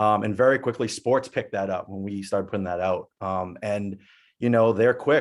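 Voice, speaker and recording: Against a quiet background, a man talks in an ordinary speaking voice at a moderate pace with fairly even intonation. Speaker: music producer. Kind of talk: webinar panel discussion.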